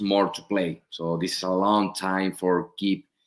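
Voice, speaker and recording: A man's fairly low voice with a Spanish accent, on a very clean recording against a silent background. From Spain. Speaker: professional soccer goalkeeper. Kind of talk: interview. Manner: halting, many fillers and repeats.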